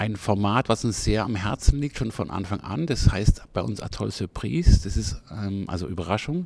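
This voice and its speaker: A man with a fairly low pitch and vocal fry talks at a moderate pace with lively intonation and hardly any pauses. The recording is very clean, with a silent background. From Freiburg, southwestern Germany. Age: 60s. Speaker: festival director. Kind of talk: interview. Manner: halting, many fillers.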